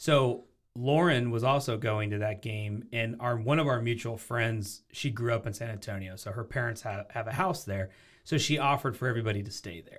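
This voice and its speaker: A man with an American accent speaks at a fairly quick pace in a somewhat breathy voice. Ordinary pitch variation and big swings in loudness come through on a very clean recording with a silent background. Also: medium pitch for a man. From US Pacific Northwest, Portland suburb, Oregon. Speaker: entrepreneur. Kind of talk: casual chat.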